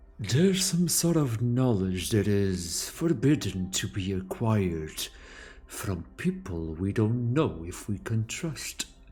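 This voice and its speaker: A man puts on a character voice at a fairly low pitch. He speaks at a fairly slow pace with very wide pitch swings. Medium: actual play. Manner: calm.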